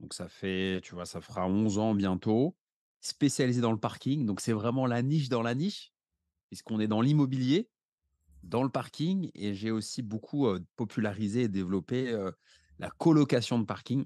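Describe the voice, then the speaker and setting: Medium-pitched man with a dark, mellow tone and ordinary pitch variation at a moderate pace, dry and close with no echo, over a quiet background. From France, Paris. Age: 30s. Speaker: real estate investor. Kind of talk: interview conversation.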